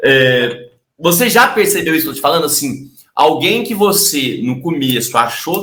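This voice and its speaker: Lively intonation from a man with a fairly high pitch, moderate pace, and audible room echo. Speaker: sales trainer and YouTuber. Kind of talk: casual interview chat.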